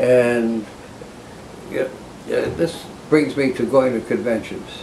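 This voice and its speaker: Against noticeable background noise, a man talks at a very slow pace with medium pitch and ordinary pitch variation. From Boston area, Massachusetts. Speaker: retired law librarian and law professor. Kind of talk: oral history interview. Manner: halting, many fillers.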